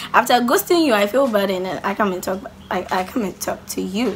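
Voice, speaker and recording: Noticeable background noise sits behind a woman's voice. She talks at a fairly quick pace with lively intonation. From Ghana. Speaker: YouTuber. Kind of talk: casual vlog Q&A. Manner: loud; animated.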